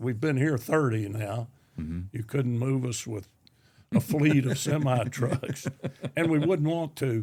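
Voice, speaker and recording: With an East Tennessee accent, a man speaks fairly slowly in a dark, mellow, somewhat breathy voice of medium pitch and lively intonation. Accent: Southern US, East Tennessee. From Anderson County, Tennessee. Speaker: retired Army officer and educator. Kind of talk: interview answer.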